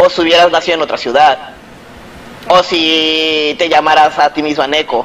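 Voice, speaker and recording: The intonation is monotone and flat, broken by long, frequent pauses. Background noise is noticeable. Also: man, fairly high pitch for a man, moderate pace. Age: 30s. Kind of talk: interview.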